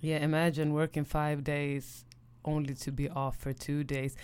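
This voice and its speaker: Speech unfolds at a fairly slow pace. The recording is very clean, with a silent background. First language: Swedish. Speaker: podcast co-host. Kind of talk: casual chat. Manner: animated.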